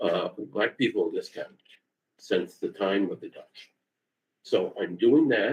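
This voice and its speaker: A man speaks in an animated tone. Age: 60s. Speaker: lawyer presenting to county board. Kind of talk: public meeting discussion. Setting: county board meeting, live streamed.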